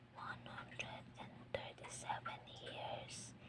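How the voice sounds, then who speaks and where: The speaker is whispering. Noticeable background noise runs underneath. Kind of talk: whispered scripture reading for relaxation. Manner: whispered, soft-spoken, slow.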